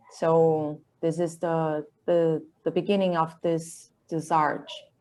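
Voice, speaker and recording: A woman's dark, mellow, fairly low-pitched voice with a Portuguese accent, very slow and in a flat monotone, on a very clean recording with a silent background. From Brazil, Campinas, Sao Paulo state. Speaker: illustrator and comic artist. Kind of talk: interview, describing own artwork. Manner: halting, searching for words.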